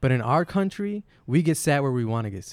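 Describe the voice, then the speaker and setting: A man with an American accent talks at a moderate pace and medium pitch in an ordinary speaking voice. The recording is very clean, with a silent background. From Flint, Michigan, US. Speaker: podcast guest. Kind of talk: casual chat.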